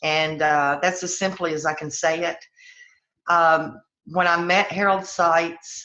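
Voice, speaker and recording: With a Southern US accent, a woman speaks at a very slow pace in a fairly low pitch with monotone, flat intonation. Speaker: network marketing business leader. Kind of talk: personal testimony on a team call.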